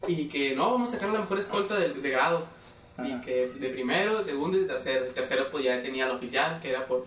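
Over noticeable background noise, a man with a Mexican accent speaks at a very fast pace, his fairly high pitch moving in lively intonation. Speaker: podcast co-host. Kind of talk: casual chat.

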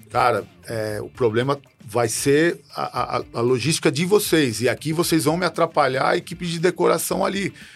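A man's fairly high voice with ordinary pitch variation and music in the background. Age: old. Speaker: samba school president and businessman. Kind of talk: interview conversation. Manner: halting, with repetitions.

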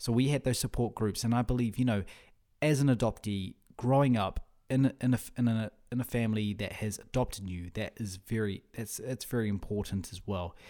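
Fairly quick speech from a man with a New Zealand accent, dark and mellow in tone, with fairly even intonation. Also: medium pitch for a man. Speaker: podcast host. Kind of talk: solo monologue. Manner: halting, repeats words.

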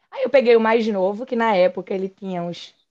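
Against a quiet background, a woman with a fairly high pitch speaks at a fairly quick pace in an ordinary speaking voice. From Pernambuco countryside, Brazil. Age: 40s. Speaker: endodontist. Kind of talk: interview conversation.

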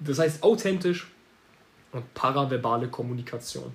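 Speaking at a fairly slow pace, a man has a fairly high pitch, a somewhat breathy, animated tone, and ordinary pitch variation. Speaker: marketing agency owner podcaster. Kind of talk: solo podcast monologue. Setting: home office.

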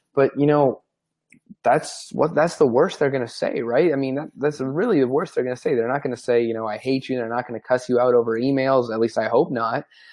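This is an unremarkable speaking voice with ordinary pitch variation. It moves at a fairly quick pace. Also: man, medium pitch for a man. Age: 20s. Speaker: sports media founder and CEO. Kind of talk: interview.

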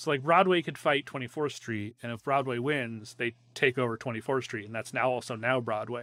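A man with an American accent, his tone bright and sharp, at a fairly quick pace in a dry, close recording with no echo. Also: medium pitch for a man, ordinary pitch variation. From Northwest Ohio. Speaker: podcast host. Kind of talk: casual chat.

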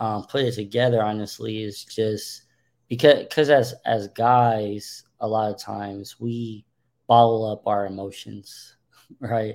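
This very clean recording has a silent background. A man speaks at a medium pitch and a fairly slow pace, his intonation monotone and flat. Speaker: podcast host. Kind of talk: casual chat. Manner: halting.

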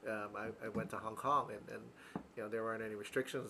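With an American accent, a man at a medium pitch talks at a very fast pace. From US East Coast. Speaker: real estate podcast co-host. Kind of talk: casual chat.

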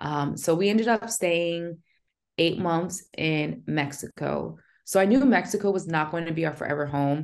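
The speaker has a plain, everyday voice with an American accent. The pace is moderate and the pitch variation ordinary. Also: woman, fairly low pitch for a woman. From New Jersey. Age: 30s. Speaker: military veteran and community founder. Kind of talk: interview.

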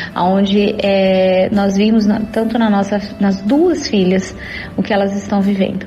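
A woman speaks in a monotone, flat voice. Audible room echo and noticeable background noise are present. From interior of São Paulo state, Brazil. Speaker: churchgoer sharing faith testimony. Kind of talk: testimony.

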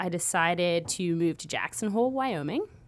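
A woman with a bright, sharp tone speaks at a moderate pace, her pitch swinging very widely. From London, England. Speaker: customer success specialist. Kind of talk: casual interview. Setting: studio.

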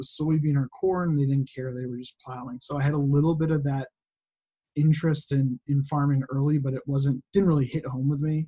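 In an American accent, the voice sounds somewhat breathy with a dark, mellow tone. It moves at a fairly quick pace with fairly even intonation. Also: man. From Western Massachusetts. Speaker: data visualization designer and farmer. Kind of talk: casual chat.

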